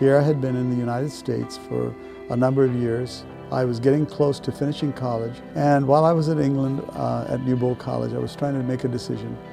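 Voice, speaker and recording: With music in the background, a man talks at a fairly quick pace and with ordinary pitch variation. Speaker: church conference president. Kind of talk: interview answer.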